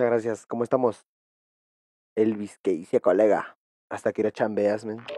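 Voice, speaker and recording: A man speaks at a moderate pace in a fairly low voice with a dark, mellow tone, pausing long and often. The sound is dry and close with no echo. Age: 20s. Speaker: gaming streamer. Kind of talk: casual live stream chat while gaming. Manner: animated.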